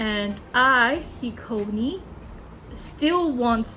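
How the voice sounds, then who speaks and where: In a room with audible echo and music in the background, a woman with a non-native accent speaks at a fairly high pitch. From Hong Kong. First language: Cantonese. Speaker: YouTuber. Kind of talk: casual monologue. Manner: halting, many fillers and self-corrections.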